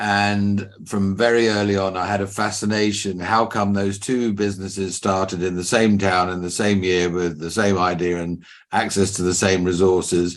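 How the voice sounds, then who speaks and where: In an English accent, a man speaks at a moderate pace with hardly any pauses, his pitch fairly low and his intonation monotone and flat. Audible room echo surrounds his voice. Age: 60s. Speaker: business mentor and company founder. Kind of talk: podcast interview.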